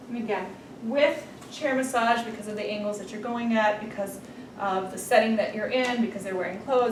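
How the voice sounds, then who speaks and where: The speaker moves at a fairly quick pace with ordinary pitch variation, and the clip has audible room echo and noticeable background noise. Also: woman. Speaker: massage therapy instructor. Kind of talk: tutorial. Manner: casual.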